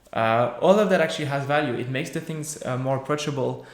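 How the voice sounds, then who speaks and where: A man's fairly quick speech is accompanied by audible room echo and noticeable background noise. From France. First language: French. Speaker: software developer. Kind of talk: Q&A after a tech talk. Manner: halting, many fillers.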